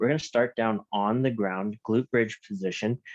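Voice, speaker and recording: Soft-spoken, moderately paced speech with ordinary pitch variation and a dry, close sound with no echo. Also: man. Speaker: fitness instructor. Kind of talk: live online workout class. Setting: at home.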